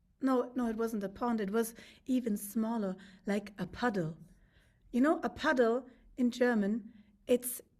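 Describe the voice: Text read aloud plainly.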